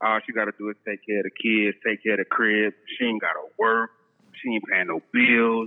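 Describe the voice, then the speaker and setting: At a moderate pace, a man speaks at a medium pitch in a flat monotone. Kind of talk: casual banter, storytelling.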